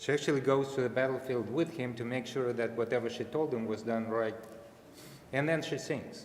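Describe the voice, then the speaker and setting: A man speaks with a Russian accent and fairly even intonation. Noticeable background noise runs underneath. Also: medium pitch for a man, fairly quick pace. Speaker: father of bat mitzvah girl. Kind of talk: family speech at religious ceremony. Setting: synagogue service.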